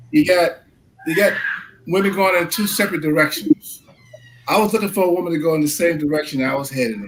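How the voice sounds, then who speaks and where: Over noticeable background noise, a man speaks very fast at a high pitch with ordinary pitch variation. Long, frequent pauses break up his speech. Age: 60s. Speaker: husband of a special guest, insurance agent. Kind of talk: talk show panel discussion. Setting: live stream. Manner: halting.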